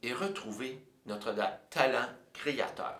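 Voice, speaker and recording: Speaking with a Quebec accent at a medium pitch, a man is recorded with audible room echo and noticeable background noise. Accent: Québécois French. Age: 60s. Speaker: composer and music teacher. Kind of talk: personal storytelling monologue. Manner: hesitant, many fillers.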